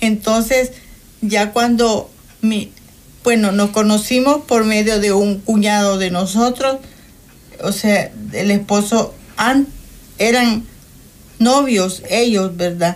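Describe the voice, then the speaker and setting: A woman talks at a very slow pace with long, frequent pauses, a fairly high pitch, fairly even intonation and very even loudness. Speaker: guest sharing life testimony. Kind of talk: testimony.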